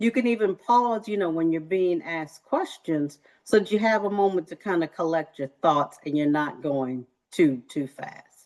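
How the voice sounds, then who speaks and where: A woman speaks with a fairly low pitch and lively intonation. Her pace is moderate. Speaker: career workshop presenter. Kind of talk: workshop presentation. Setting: video call. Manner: animated.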